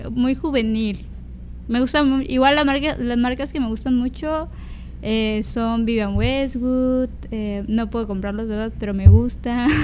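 Her voice fairly high, a woman speaks at a fairly slow pace with fairly even intonation, with audible room echo around her. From Mexico, Tabasco (Villahermosa). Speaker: fashion stylist. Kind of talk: casual chat.

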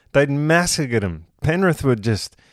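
Here a man with an Australian accent talks at a fairly slow pace. His pitch swings very widely on a very clean recording with a silent background. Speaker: rugby league podcast co-host. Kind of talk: casual chat.

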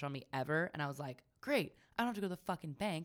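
Very fast pace with an animated tone and an American accent. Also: woman. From Northern California, Sonoma County. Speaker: popcorn business owner. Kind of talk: casual chat.

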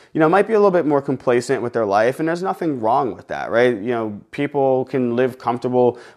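Moving along fairly briskly, the man talks in a voice pitched at a middle level. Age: 30s. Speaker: fitness coach and gym owner. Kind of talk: casual solo podcast monologue. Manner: energetic, animated.

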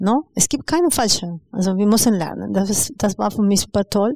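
Spoken with a Spanish accent, the voice has a dark, mellow tone and sounds dry and close with no echo, on a very clean recording with a silent background. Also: woman. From Peru, Lima. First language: Spanish (speaking German). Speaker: educator and migrant rights activist. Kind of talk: interview. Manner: hesitant, many fillers.

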